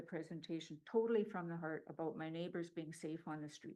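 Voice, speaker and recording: A woman with a Canadian accent, a normal speaking voice, fairly low pitch and a fairly quick pace. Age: 60s. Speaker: public delegate at council meeting. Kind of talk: public delegation statement. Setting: council chamber with gallery.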